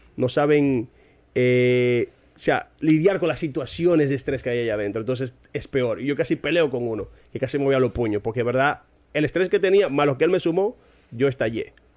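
With a normal speaking voice, a man talks at a fairly quick pace in a fairly high pitch, using ordinary pitch variation. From Dominican Republic, Barahona. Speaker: English teacher. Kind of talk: casual interview chat.

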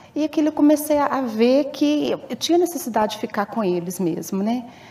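Noticeable background noise accompanies a woman who speaks with lively intonation. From Viçosa, Minas Gerais, Brazil. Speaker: stay-at-home mother. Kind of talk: interview testimony.

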